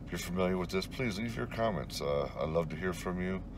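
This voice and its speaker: Fairly quick speech with ordinary pitch variation comes through dry, with no echo, against noticeable background noise. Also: man. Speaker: urban explorer vlogger. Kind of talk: casual vlog chat. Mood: reflective, slightly wistful. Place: car. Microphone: phone near.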